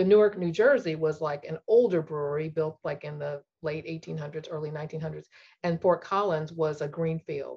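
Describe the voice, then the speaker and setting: A woman with an American accent speaks in a very deep, low pitch, somewhat breathy, at a moderate pace. Her loudness swings widely while her pitch varies in an ordinary way. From US Midwest, St. Louis. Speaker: engineer. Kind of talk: interview conversation.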